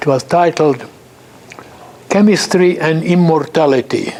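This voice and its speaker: Through noticeable background noise, a fairly high-pitched man talks at a fairly slow pace with fairly even intonation. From Hungary. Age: 80s+. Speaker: chemist. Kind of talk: lecture. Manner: halting.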